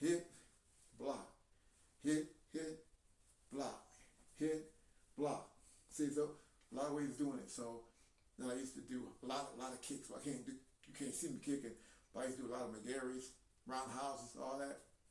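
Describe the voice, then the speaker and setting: A man at a fairly high pitch and moderate pace, with long, frequent pauses and audible room echo. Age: 70s. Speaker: video blogger. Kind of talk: casual monologue. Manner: halting; animated.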